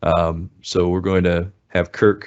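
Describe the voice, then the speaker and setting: A man is talking here. His voice sits very deep and low. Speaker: software trainer. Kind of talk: webinar demo.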